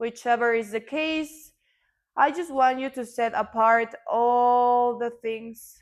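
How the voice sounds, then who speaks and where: A woman in a Mexican accent, calm in tone and fairly high in pitch, at a very slow pace, on a very clean recording with a silent background. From Mexico. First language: Spanish. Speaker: yoga teacher. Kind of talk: yoga class instruction. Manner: slow, calm guiding.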